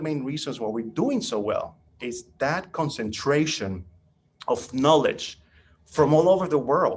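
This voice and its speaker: The background is quiet as a man speaks with lively intonation. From Nicaragua. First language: Spanish. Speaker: caller. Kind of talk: casual chat.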